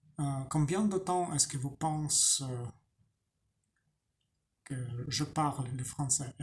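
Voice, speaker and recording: A man speaks with a non-native accent and a fairly high pitch. His voice is somewhat breathy, with ordinary pitch variation. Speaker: language learner. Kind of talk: casual talk to camera. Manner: slow, hesitant.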